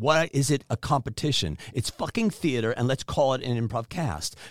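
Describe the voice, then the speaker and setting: With lively intonation and vocal fry, a man talks at a moderate pace. His pitch is medium. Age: 60s. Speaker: improv comedian and director. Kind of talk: casual chat. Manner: halting, many fillers.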